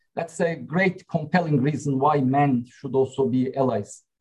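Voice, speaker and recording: A man with a Turkish accent speaks in a somewhat breathy voice with ordinary pitch variation. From Turkey. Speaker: company CEO. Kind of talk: panel discussion.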